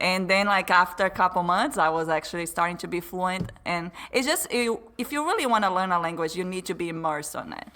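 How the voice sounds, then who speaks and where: A woman talks at a very fast pace with a Brazilian Portuguese accent. Her pitch varies in an ordinary way. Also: medium pitch for a woman. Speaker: podcast guest. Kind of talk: casual interview chat.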